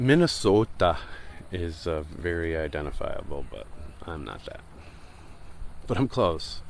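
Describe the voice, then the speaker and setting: A man with an American accent at a fairly slow pace, long and frequent pauses, big swings in loudness, and noticeable background noise. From Michigan. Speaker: beach walk livestreamer. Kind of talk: casual chat. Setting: outdoors.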